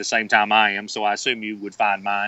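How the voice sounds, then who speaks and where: With a Southern US accent, a man talks at a fairly quick pace in a fairly low pitch. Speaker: golf author. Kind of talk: podcast interview. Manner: halting, many fillers and repeats.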